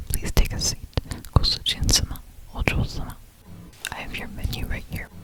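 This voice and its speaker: A man whispers at a moderate pace. Music can be heard in the background. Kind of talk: whispered maid cafe ASMR roleplay. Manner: whispered, soft-spoken, polite.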